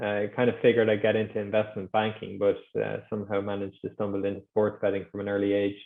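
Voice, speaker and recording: A man's fairly low, flat monotone in an Irish accent, delivered at a very fast pace. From Ireland. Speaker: sports betting executive. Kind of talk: podcast interview.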